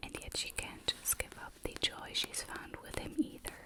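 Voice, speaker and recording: Someone is whispering. Noticeable background noise runs under the voice. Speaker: ASMR creator. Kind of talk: reading book back cover aloud. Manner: whispered.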